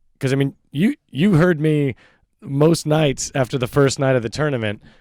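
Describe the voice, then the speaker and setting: At a moderate pace, a man speaks with a fairly high pitch and ordinary pitch variation, and the sound is dry and close with no echo. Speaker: podcast guest. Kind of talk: casual chat. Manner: halting.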